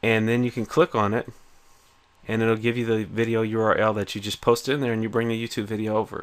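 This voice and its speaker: A man talks very fast at a medium pitch. His intonation is flat and monotone. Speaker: small business educator. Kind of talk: screen-share tutorial. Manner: casual, filler-heavy.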